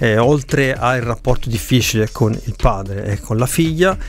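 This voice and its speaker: The speech moves at a moderate pace with ordinary pitch variation, over light background noise and in a dry sound with no echo. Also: man. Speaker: podcast host, film reviewer. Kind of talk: commentary. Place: home room. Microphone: studio mic.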